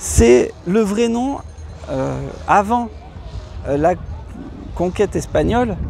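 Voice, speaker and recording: Over music in the background, a man talks at a very slow pace with long, frequent pauses. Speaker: travel vlogger. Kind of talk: casual vlog explanation. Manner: halting, many hesitations.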